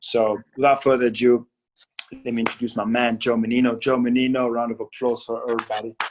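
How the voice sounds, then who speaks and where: Over music in the background, a man talks at a very fast pace in a medium pitch with monotone, flat intonation. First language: not English. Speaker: podcast host. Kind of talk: casual interview.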